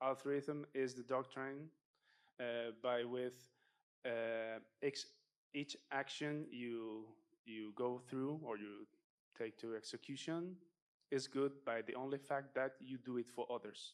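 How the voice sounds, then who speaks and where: With a non-native accent, a man talks at a very slow pace and a medium pitch. Long pauses come often, and his intonation stays fairly even. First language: not English. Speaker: audience member asking a question. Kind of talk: audience question. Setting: conference talk with audience. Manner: halting, many fillers.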